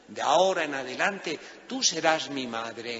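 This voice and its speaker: Noticeable background noise accompanies a man speaking at a fairly slow pace with lively intonation. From Spain. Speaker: priest. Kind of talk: sermon.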